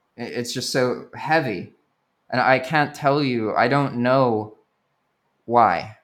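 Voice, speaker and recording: This man has an American accent and a medium pitch. He speaks very slowly with ordinary pitch variation. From born Sri Lanka, raised partly in US. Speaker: youtuber, expat in Nicaragua. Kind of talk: casual interview. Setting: remote call. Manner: halting, repeats words.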